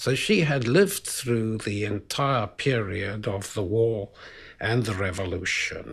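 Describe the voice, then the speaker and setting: At a very slow pace, a man with a medium-pitched, somewhat breathy voice talks in a South African accent on a very clean recording with a silent background. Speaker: biologist. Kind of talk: interview answer.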